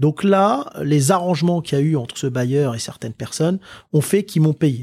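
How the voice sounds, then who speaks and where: A man's somewhat breathy voice comes through with a dry, close sound and no echo. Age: 30s. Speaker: entrepreneur. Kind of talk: interview. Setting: office.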